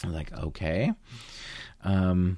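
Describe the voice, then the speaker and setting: Male speech captured very cleanly against a silent background. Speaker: podcast co-host, photographer. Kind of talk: casual chat.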